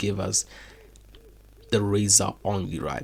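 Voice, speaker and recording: Speaking at a moderate pace with vocal fry and a non-native accent, this voice comes through on a very clean recording with a silent background. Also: man. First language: not English. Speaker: AI chatbot developer demoing product. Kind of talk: screen-share product demo. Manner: casual, filler-heavy.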